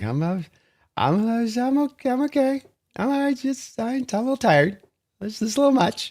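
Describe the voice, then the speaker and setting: The voice is a put-on character. It sits at a fairly high pitch. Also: moderate pace. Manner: weary, hesitant, reassuring.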